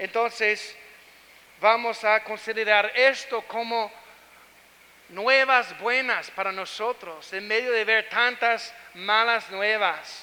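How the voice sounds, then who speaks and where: A raised, projected voice with an American accent speaks at a very slow pace with fairly even intonation. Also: man, high pitch for a man. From United States. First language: English (speaking Spanish). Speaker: pastor. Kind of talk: sermon. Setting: church. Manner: halting.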